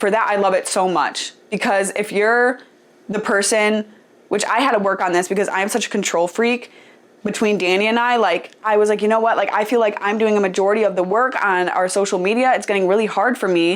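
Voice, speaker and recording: Keeping her loudness very even, a woman talks at a fairly quick pace with a medium pitch. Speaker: podcast host. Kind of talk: casual advice podcast monologue. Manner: animated.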